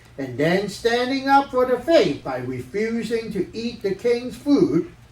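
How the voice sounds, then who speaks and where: A cartoonish character voice, fairly high in pitch, at a fairly slow pace. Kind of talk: children's Sunday worship puppet show. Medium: puppet.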